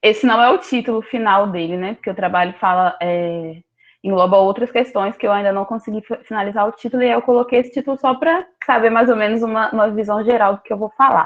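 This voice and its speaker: A woman at a very fast pace, fairly high in pitch, with ordinary pitch variation. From Rio de Janeiro, Brazil. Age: 20s. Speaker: graduate student researcher. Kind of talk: academic presentation.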